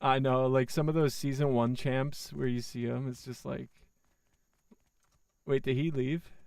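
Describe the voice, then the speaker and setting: This man talks at a fairly slow pace with a medium pitch and flat, monotone intonation. His speech is broken by long, frequent pauses. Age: 20s. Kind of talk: casual chat. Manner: casual, profane.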